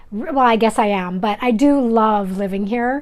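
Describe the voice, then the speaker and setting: This woman talks at a moderate pace with a Canadian Prairie accent, her fairly high voice moving with ordinary pitch variation. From Canada, Manitoba. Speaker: craft YouTuber. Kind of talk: casual vlog chat. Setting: filming indoors at home.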